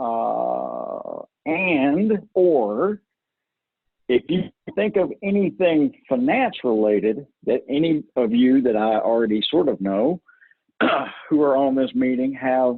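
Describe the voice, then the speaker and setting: A man talks very slowly with lively intonation against a quiet background. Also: dry sound with no echo. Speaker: software trainer. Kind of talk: webinar presentation with Q&A. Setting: video call. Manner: casual. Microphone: video call.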